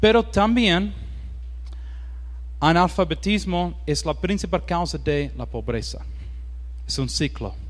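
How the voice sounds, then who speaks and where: The room echo is audible. Through it, a man talks very slowly. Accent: English. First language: English (speaking Spanish). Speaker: missionary. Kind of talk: sermon. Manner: halting, many fillers.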